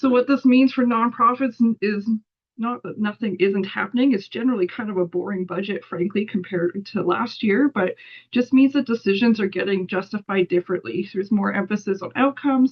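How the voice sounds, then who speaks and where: A woman speaks at medium pitch with ordinary pitch variation. Her voice is somewhat breathy. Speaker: policy analyst. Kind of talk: webinar presentation. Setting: online webinar. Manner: fast.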